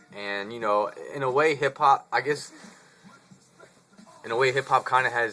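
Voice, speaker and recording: With noticeable background noise behind him, a man in an American accent speaks in an animated tone at a moderate pace with ordinary pitch variation. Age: 20s. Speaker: vlogger. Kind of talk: casual vlog monologue. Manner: casual, animated.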